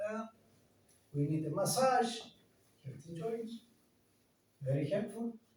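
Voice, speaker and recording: A man's lively intonation and dark, mellow tone at a moderate pace, with audible room echo. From Greece. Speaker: company director presenting health devices. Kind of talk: product presentation. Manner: halting, with hesitations.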